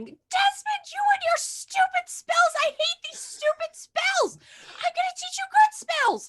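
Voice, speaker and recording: A put-on character voice shouts at an extremely high pitch and a fairly slow pace. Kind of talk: playful roleplay. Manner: yelling, angry.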